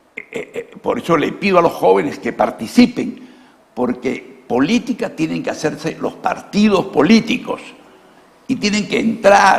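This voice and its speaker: A high-pitched man speaks at a fairly slow pace. His pitch swings very widely, with noticeable background noise behind him. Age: 70s. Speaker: former congressman, politician. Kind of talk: political interview.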